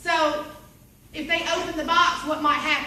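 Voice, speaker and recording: With an American accent, a woman speaks in a raised, projected voice over noticeable background noise and audible room echo. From US South (Bible Belt). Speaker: direct sales team leader. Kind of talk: training seminar. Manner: animated.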